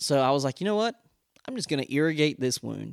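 With a dry, close sound and no echo, a man speaks with ordinary pitch variation. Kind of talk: personal storytelling with faith encouragement. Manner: fast talker; animated, humorous.

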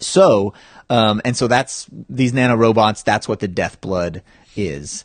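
This is an ordinary speaking voice from a man with a fairly low pitch. He talks at a fairly slow pace with lively intonation. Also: dry, close sound with no echo. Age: 30s. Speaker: filmmaker. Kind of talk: casual chat.

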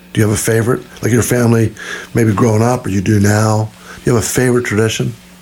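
Over noticeable background noise, a man talks very fast with a fairly low pitch and fairly even intonation. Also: very even loudness. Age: 60s. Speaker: podcast host, missionary. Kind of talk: casual chat.

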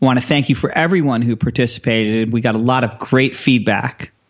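The speaker has a plain, everyday voice. The pace is fairly quick. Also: man. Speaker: radio host. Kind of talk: interview questions.

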